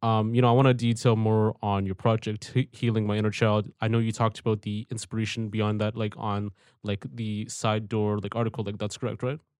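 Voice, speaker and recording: A man talks at a fairly quick pace with hardly any pauses, his fairly low voice monotone and flat, in a dry, close sound with no echo over a quiet background. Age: 20s. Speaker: podcast host. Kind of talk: casual interview. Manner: hesitant, many filler words.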